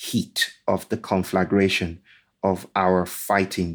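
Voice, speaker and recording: A man with a Nigerian accent talks at a very slow pace. The recording is very clean, with a silent background. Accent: Nigerian (Yoruba) English. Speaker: author and speaker. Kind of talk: interview.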